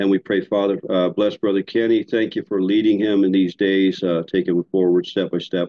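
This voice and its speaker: The speaker is a man with an unremarkable speaking voice. His pitch is fairly low, and he keeps a moderate pace. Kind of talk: prayer and casual chat. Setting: video call.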